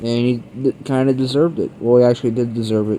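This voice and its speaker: A man talking at a fairly quick pace with fairly even intonation. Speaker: movie reviewer. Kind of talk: casual video review.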